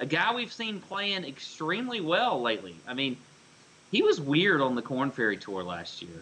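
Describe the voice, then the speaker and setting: A man speaks at a moderate pace with a fairly high pitch and very wide pitch swings. There is noticeable background noise behind him. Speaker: golf betting podcast co-host. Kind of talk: casual sports betting chat. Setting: home studio, co-hosts in same room.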